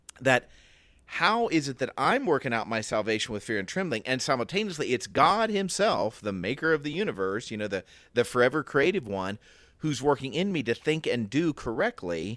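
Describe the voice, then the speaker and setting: Over a silent background in a very clean recording, a man with an American accent talks at a fairly quick pace, his medium-pitched voice making very wide pitch swings. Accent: Southern US accent, slips out. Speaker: podcast co-host. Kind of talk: casual Bible discussion.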